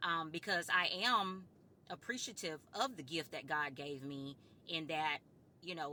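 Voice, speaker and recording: Loud and bright with a sharp tone, a woman's very deep, low voice moves with lively intonation. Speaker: vlogger. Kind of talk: casual monologue to camera. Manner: firm.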